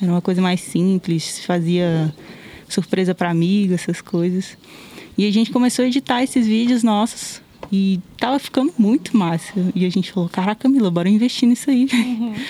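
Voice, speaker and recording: Amid noticeable background noise, a woman at a medium pitch speaks at a fairly quick pace, with ordinary pitch variation and very even loudness. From Brasília, Brazil. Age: 20s. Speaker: video creator. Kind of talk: casual interview. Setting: outdoors, masked.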